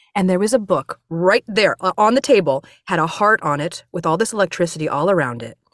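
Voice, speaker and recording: With an energetic tone and an American accent, a woman talks at a fairly quick pace in a dry, close sound with no echo. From US Pacific Northwest. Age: 40s. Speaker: voiceover actor and audiobook narrator. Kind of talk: casual interview. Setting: home recording studio. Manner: fast.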